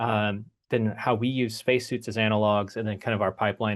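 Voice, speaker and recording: In an American accent, a man speaks at a fairly low pitch and fairly quick pace with monotone, flat intonation over a quiet background. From United States. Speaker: human factors engineer at a space biotech company. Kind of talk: workshop presentation. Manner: casual, filler-heavy.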